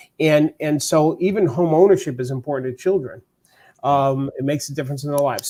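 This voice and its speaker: A man with a New York accent talks at a fairly quick pace in a fairly high voice with a dark, mellow tone and ordinary pitch variation. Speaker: real estate coach. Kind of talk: podcast interview.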